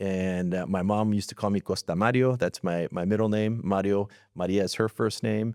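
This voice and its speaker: Recorded very cleanly over a silent background, the sound dry and close with no echo, a man speaks at a moderate pace in a fairly low pitch. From California, Atwater (rural Central Valley). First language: Spanish. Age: 50s. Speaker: school superintendent. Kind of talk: interview. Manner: halting, many fillers.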